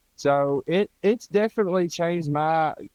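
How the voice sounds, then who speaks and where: This is a man speaking. He talks in an Appalachian accent. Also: dry, close sound with no echo. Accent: Appalachian Southern US. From US South, East Tennessee. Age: 20s. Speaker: power lineman and Bigfoot researcher. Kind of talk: interview. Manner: casual, with many fillers.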